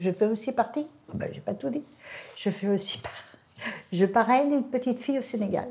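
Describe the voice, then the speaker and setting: Vocal fry colors this woman's voice. She speaks at a very fast pace with lively intonation. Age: 80s+. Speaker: charity volunteer. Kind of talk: interview testimony.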